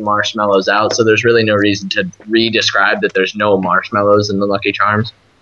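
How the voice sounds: Fairly even intonation in a natural reading voice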